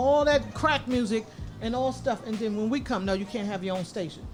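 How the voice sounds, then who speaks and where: A woman with lively intonation at a fairly quick pace, music in the background. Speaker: radio show host. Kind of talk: live radio talk. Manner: sometimes halting.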